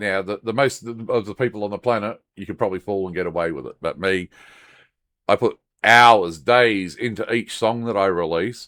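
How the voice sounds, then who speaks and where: A man speaks at a fairly low pitch in a bright, sharp tone, with big swings in loudness. The recording is very clean and dry, close with no echo, over a silent background. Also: ordinary pitch variation, moderate pace. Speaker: YouTuber and music creator. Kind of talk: tutorial. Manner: halting.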